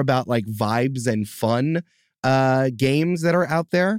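A man with a normal speaking voice and a medium pitch talks at a fairly slow pace with lively intonation, in a very clean recording with a silent background and a dry, close sound with no echo. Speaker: game master and podcast producer. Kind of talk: casual chat.

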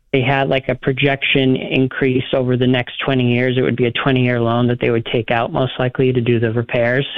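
This man talks at a moderate pace, his loudness very even. His intonation is flat and monotone. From New England. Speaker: caller. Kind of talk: casual chat. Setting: phone call.

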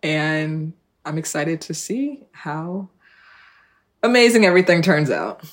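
A woman with a fairly low pitch speaks at a fairly slow pace, leaving long, frequent pauses. Her intonation is lively, her loudness swings widely, and the recording is very clean with a silent background. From New Jersey, South Orange. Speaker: fashion e-commerce founder and CEO. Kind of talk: interview.

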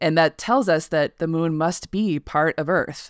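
With a General American accent, a woman speaks in a very deep, low pitch. Her pace is fairly slow, and the sound is dry and close with no echo. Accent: flat general American. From US West, Colorado. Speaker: science writer. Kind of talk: interview. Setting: remote call.

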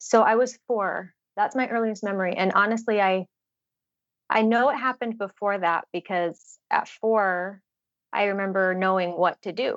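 Using a normal speaking voice with an American accent, a woman speaks at a moderate pace and medium pitch with fairly even intonation, the sound dry and close with no echo over a quiet background. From Utah. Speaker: trafficking survivor and advocate. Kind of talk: interview testimony.

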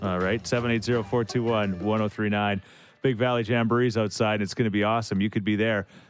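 With music in the background, a voice in a Canadian accent speaks in a flat monotone at very even loudness. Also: man, fairly low pitch for a man, moderate pace. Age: 40s. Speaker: radio host. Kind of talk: casual radio chat. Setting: studio.

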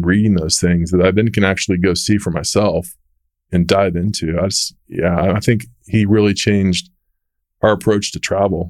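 In a very clean recording with a silent background, a man with an American accent and a normal speaking voice talks at a fairly low pitch and moderate pace, with fairly even intonation. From Texas, Dallas. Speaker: real estate executive. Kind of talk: interview. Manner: conversational.

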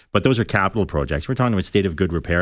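Very deep and low in pitch, a man with an Irish accent talks very fast with lively intonation and vocal fry. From Ireland, Dublin. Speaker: political staffer. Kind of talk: radio panel discussion. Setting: radio studio.

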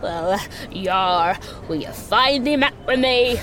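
Against clear background noise, a female-sounding put-on character voice at a fairly high pitch speaks at a fairly slow pace. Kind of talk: pirate speech. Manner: playful.

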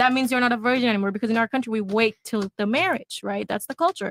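With a bright, sharp tone and a high pitch, a woman speaks with ordinary pitch variation in a dry, close sound with no echo. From Bangladesh. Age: 20s. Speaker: panel guest. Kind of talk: heated debate. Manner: loud.

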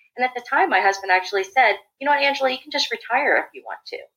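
With an American accent, a woman talks at a very fast pace in a high-pitched, bright, sharp tone full of very wide pitch swings. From Washington, D.C. area. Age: 40s. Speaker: leadership trainer. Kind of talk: interview.

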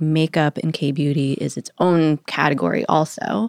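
A woman's very deep, low voice in a very clean recording with a silent background. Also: dry, close sound with no echo. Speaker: magazine editor and podcast host. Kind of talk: interview.

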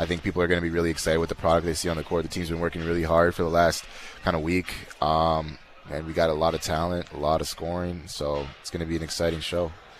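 A man speaks at a very fast pace with a very deep, low pitch. His intonation is monotone and flat, and there is noticeable background noise. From Canada, Winnipeg. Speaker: professional basketball player. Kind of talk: interview. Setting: live event venue.

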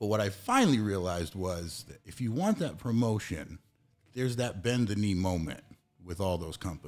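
Recorded very cleanly against a silent background, a man with an American accent uses a normal speaking voice at a fairly low pitch, with ordinary pitch variation and a moderate pace. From New England, US. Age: 40s. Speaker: CBD business owner, former gym manager. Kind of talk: casual interview.

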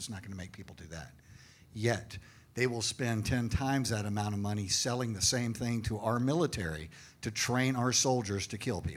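In a room with audible echo, a man speaks at a fairly quick pace and medium pitch with ordinary pitch variation. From Austin, Texas. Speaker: retired police officer and paranormal investigator. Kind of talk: live panel discussion. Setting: stage with audience.

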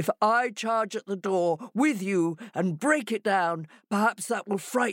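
Plain reading aloud, nothing more

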